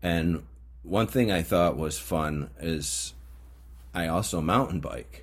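A man's very deep, low voice with an American accent, vocal fry, lively intonation, a very slow pace and long, frequent pauses. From upstate New York. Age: 50s. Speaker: podcast host, metal detecting hobbyist. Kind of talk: casual monologue. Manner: halting, frequent fillers.

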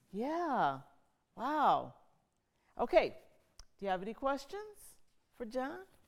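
At a very slow pace with long, frequent pauses, the speech shows very wide pitch swings and big swings in loudness. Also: woman, high pitch for a woman. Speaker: event host and interviewer. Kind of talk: moderating Q&A.

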